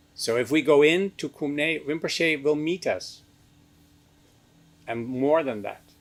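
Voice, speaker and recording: A man with a Dutch accent speaks at a very slow pace and a fairly high pitch, with ordinary pitch variation. Long, frequent pauses break up his speech on a very clean recording with a silent background. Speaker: meditation teacher. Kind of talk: lecture.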